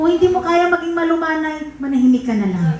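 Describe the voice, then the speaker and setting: Amid noticeable background noise and audible room echo, a woman speaks. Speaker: pastor. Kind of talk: sermon. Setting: church. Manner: forceful, blunt way of speaking.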